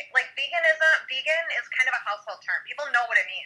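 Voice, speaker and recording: A woman speaks in a raised, projected voice. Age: 40s. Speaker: podcast guest, parent. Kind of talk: casual chat.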